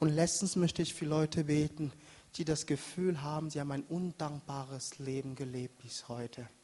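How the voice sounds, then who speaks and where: Somewhat breathy and dark, mellow in tone, a man with a non-native accent speaks at a very slow pace with ordinary pitch variation. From Africa. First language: not German (speaking German). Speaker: pastor. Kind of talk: sermon. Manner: animated.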